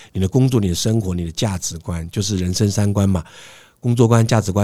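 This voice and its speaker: A fairly low-pitched, somewhat breathy man's voice, dark and mellow in tone, at a fairly quick pace with fairly even intonation, on a very clean recording with a silent background. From Taiwan, Hsinchu. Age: 50s. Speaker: professional lecturer and serial entrepreneur. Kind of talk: interview.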